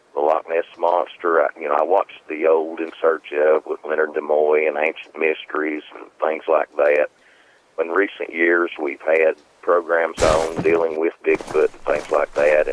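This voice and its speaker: At a moderate pace in a Southern Appalachian accent, the speech shows big swings in loudness, with noticeable background noise and a dry, close sound with no echo. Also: man. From Southern Appalachians, US. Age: 50s. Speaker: eyewitness recounting a creature encounter. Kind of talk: interview.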